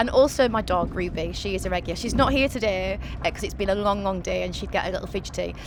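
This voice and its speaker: A woman speaking at a very fast pace over noticeable background noise. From Hull, East Yorkshire. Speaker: actress and podcast host. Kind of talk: casual chat. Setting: on a train.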